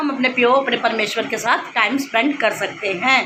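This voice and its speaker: Over noticeable background noise, a woman with a Dogri accent uses a raised, projected voice at a high pitch. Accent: Dogri-tinged Hindi. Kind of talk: explanatory, devotional talk.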